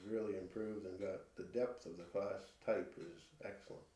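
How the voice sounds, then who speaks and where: There is audible room echo as a man delivers his words at a moderate tempo. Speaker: dairy cattle breeder. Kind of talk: interview. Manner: soft-spoken.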